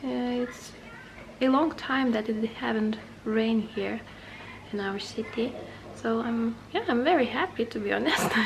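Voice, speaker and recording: A woman with a non-native accent and a fairly high pitch speaks at a fairly slow pace. She leaves long, frequent pauses, and noticeable background noise runs underneath. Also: ordinary pitch variation. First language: not English. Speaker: booktuber. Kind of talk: casual vlog. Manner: halting.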